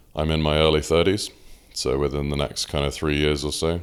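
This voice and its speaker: In a southern English accent, a man with a very deep, low pitch speaks at a moderate pace in a monotone, flat intonation. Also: very clean recording, silent background. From southern England (Oxford). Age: 20s. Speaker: powerlifter. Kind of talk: casual chat.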